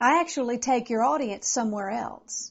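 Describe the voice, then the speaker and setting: A woman's fairly high voice with vocal fry, ordinary pitch variation and a moderate pace. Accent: American. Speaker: motivational speaker and comedian. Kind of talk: direct address to event planners. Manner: upbeat, conversational.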